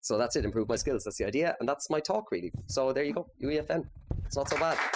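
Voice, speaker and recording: Talking at a very fast pace, a man with a fairly high pitch uses very wide pitch swings and vocal fry. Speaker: game developer, company founder. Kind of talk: conference talk. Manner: casual.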